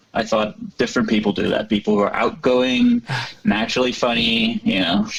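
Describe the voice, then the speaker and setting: With noticeable background noise behind him, a man of medium pitch talks at a fairly quick pace, keeping very even loudness and fairly even intonation. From Norway, northwest coast. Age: 30s. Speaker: stand-up comedian. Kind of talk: casual chat. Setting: podcast interview.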